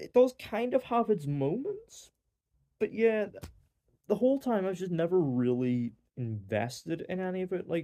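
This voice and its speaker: Speaking with a Northern Irish accent, a man uses a high pitch, a dark and mellow tone, very wide pitch swings and a moderate pace. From Northern Ireland. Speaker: film reviewer. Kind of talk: casual review monologue. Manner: hesitant, many fillers.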